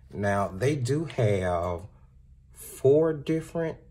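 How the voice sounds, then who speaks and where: A man's medium-pitched, somewhat breathy voice with a dark, mellow tone and lively intonation. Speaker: art supply reviewer. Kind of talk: product review.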